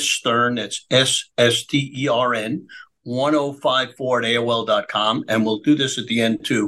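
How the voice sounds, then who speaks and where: A man with an American accent speaks in a medium pitch with a bright, sharp tone. His intonation is monotone and flat, with hardly any pauses. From US Northeast, Brooklyn, New York. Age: 80s+. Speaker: businessman and political activist. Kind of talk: interview storytelling.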